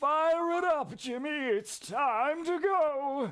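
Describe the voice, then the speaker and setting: Very slow, high-pitched delivery in a put-on character voice. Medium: actual play. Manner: smug, careless.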